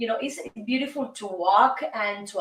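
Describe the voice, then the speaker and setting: A woman with a Cuban accent, heard with audible room echo. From Cuba, Havana. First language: Spanish. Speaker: singer and show host. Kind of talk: casual monologue show. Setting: recording studio. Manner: animated.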